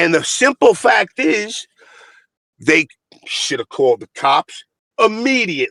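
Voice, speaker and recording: In a dry, close recording with no echo, a man speaks at a fairly slow pace in an animated tone, leaving long, frequent pauses. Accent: Brooklyn. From Brooklyn, New York. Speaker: fighting game community commentator. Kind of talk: heated debate.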